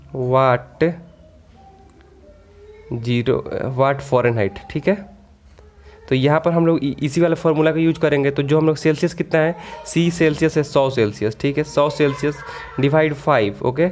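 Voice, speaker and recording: Over music in the background, a man speaks at a very even loudness, with long, frequent pauses. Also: fairly high pitch for a man, ordinary pitch variation. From Siwan, Bihar, India. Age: 20s. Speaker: AC/electrical engineer, HVAC teacher. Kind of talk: technical tutorial. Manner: casual.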